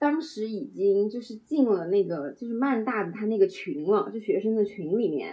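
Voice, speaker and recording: A woman speaks at a moderate pace with a fairly high pitch, lively intonation, a somewhat breathy quality and hardly any pauses. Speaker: international student. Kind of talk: casual chat.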